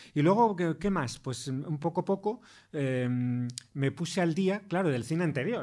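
This man's voice sits fairly high in pitch, dark and mellow in tone, moving at a fairly slow pace with lively intonation. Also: very clean recording, silent background. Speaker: film critic and professor. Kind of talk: interview.

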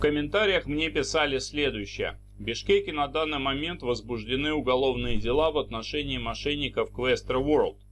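At a moderate pace, a man speaks with hardly any pauses. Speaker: YouTube host covering investment news. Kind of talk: video news commentary.

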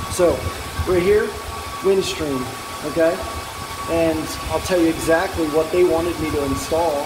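A moderate pace with clear music in the background. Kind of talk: casual vlog commentary. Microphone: phone near.

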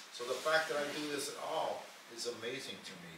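A male voice with noticeable background noise and audible room echo. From United States. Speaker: retired engineer and motivational speaker. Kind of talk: casual chat.

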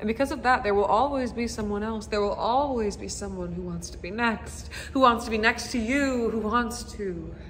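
The speech runs at a moderate pace with hardly any pauses and big swings in loudness, over light background noise. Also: woman. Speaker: actor. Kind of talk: dramatic monologue performance. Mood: bitter, accusatory, emotional. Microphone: phone near.

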